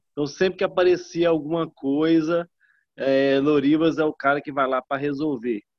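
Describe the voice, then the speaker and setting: With a normal speaking voice, a man talks at a moderate pace, his fairly high pitch held in fairly even intonation. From northern Minas Gerais, Brazil. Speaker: network marketing distributor. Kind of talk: group video call testimony.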